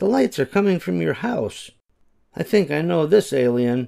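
Quiet surroundings and a plain reading of text aloud

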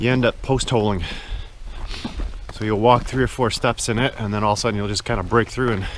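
A man's voice, dry with no echo, ordinary pitch variation, light background noise. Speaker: hiker vlogger. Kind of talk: casual vlog chat. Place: forest. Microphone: phone near.

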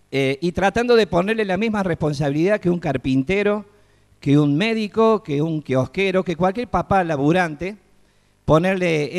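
A man with a Córdoba Argentine accent speaks at a moderate pace with ordinary pitch variation against a quiet background. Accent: Cordoban Argentine Spanish. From Córdoba, Argentina. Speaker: children's entertainer and clown. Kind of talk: TEDx talk on stage. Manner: casual, humorous. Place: stage. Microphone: handheld.

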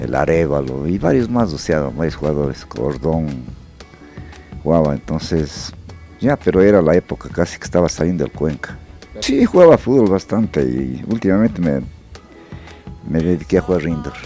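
A man's very deep, low voice with long, frequent pauses, dry sound with no echo and faint music in the background. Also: moderate pace. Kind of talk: interview answer. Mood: calm, somewhat rueful. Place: workshop. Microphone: handheld.

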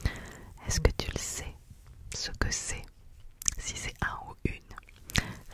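A woman whispering over loud background noise. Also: dry sound with no echo. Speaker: ASMR creator. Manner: close whisper counting down. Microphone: studio mic.

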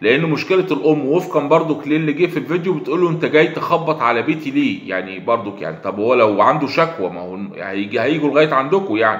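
With an Egyptian accent, a man talks fairly quickly at a fairly high pitch with lively intonation as room echo is audible. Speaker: online news commentator. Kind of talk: video commentary monologue. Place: home room. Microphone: phone near.

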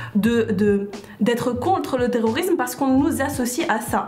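This woman's voice sits high in pitch, with ordinary pitch variation. There is audible echo from the room. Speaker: graduate student. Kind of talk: group discussion. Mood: earnest, indignant. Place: studio. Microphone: lapel.

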